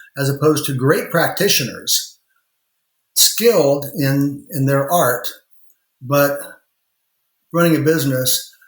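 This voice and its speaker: In an American accent, a man with a fairly high pitch and a somewhat breathy voice speaks at a fairly slow pace with ordinary pitch variation, long, frequent pauses and audible room echo. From rural Indiana. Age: 60s. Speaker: lawyer and law firm owner. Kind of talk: podcast interview.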